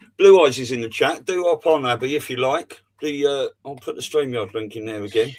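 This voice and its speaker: A man with an ordinary speaking voice talks at a fairly quick pace, his pitch fairly high with ordinary variation and big swings in loudness. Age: 50s. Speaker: livestream host. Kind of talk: casual chat. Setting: video call.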